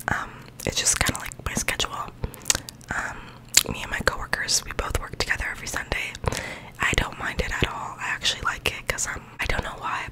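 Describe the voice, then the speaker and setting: A woman whispers. Her pace is fairly quick. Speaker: vlogger. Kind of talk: soft casual vlog chat. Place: home room. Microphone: studio mic.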